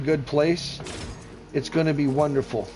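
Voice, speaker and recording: A man's voice with music in the background. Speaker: gaming streamer. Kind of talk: live gameplay commentary. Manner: animated.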